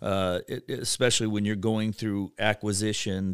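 In a very clean recording with a silent background and a dry, close sound without echo, a man speaks at a moderate pace, fairly low in pitch and monotone. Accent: Ohio. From Ohio, Cleveland. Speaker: bank executive. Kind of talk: casual interview. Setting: podcast studio.

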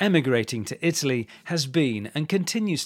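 Speaking at a moderate pace, a man with a British accent uses lively intonation. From England. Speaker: English language coach. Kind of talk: scripted narration. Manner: clear and measured.

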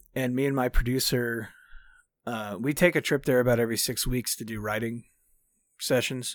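In a very clean recording with a silent background, a man's voice has fairly even intonation and a dry, close sound with no echo. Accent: Texan. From Texas, Dallas. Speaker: country singer-songwriter. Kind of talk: interview.

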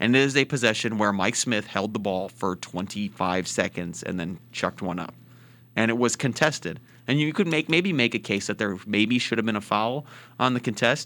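Over a very clean recording with a silent background, a man talks in an upbeat, bright, sharp tone with lively intonation. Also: medium pitch for a man, moderate pace. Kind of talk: radio break announcement and station ID, polished live sports-radio host.

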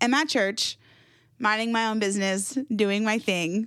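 On a very clean recording with a silent background, a woman speaks at a moderate pace and a fairly high pitch. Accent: American. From Jacksonville, Florida. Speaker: church communications director. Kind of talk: casual chat.

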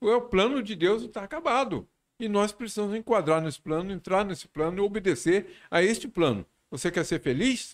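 This man talks at a high pitch and a moderate pace. The recording is very clean with a silent background. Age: 70s. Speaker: pastor. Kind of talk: casual chat.

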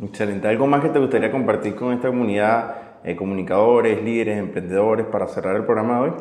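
A man talks at a very fast clip with hardly any pauses and fairly even intonation, with audible room echo and noticeable background noise. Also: medium pitch for a man. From Venezuela. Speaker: podcast host. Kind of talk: casual interview. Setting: coworking space.

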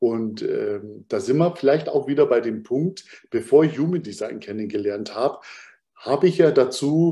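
A man's voice with a dark, mellow tone. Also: quiet background. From Bavaria, Munich. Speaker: human design coach. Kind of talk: interview conversation.

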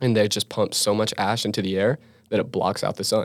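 A man with an American accent talks at a fairly low pitch and a moderate pace, his intonation monotone and flat. The recording is very clean, with a silent background. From rural Utah, Vernal. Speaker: geology student. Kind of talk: casual chat.

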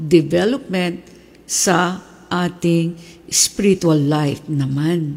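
At a very slow pace, a woman speaks, her voice somewhat breathy. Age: 70s. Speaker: pastor. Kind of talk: sermon.

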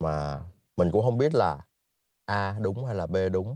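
A man talks at a very slow pace. The sound is dry and close with no echo, over a quiet background. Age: 30s. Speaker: guest sharing life story. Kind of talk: casual chat.

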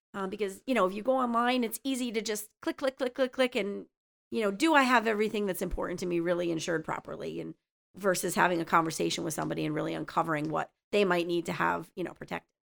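In a very clean recording with a silent background and a dry, close sound with no echo, a woman with an American accent talks at a very fast pace, her lively intonation touched with vocal fry. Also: medium pitch for a woman. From northeastern Pennsylvania, Luzerne County. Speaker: insurance agent. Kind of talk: casual interview. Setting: studio.

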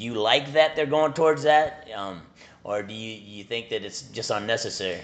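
With an ordinary speaking voice, a man talks at a moderate pace and medium pitch, his intonation lively and his loudness swinging widely. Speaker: podcast host. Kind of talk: interview, casual chat.

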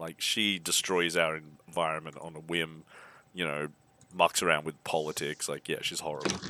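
At a moderate pace, a man with an Australian accent delivers a very deep, low, monotone, flat voice that has a bright, sharp tone. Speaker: podcast guest. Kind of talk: casual chat.

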